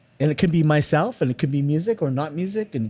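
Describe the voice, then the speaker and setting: Speaking at a very fast pace, a man with a fairly high pitch has a dark, mellow, somewhat breathy tone. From Canada, Toronto. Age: 60s. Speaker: film and TV composer. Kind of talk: casual interview chat. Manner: halting, with many repetitions.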